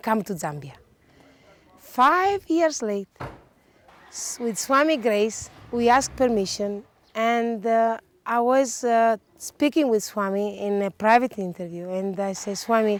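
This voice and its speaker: A woman talks at a fairly slow pace. Her voice sits fairly high in pitch. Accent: non-native. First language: not English. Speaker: volunteer decorator. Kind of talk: interview testimony. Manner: halting.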